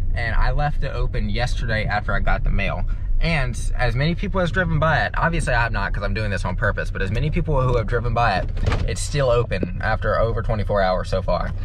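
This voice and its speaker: A man talks at a very fast pace. The sound is dry with no echo, and noticeable background noise runs underneath. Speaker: student vlogger. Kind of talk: casual vlog chat. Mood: amused, chatty. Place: car. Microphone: phone near.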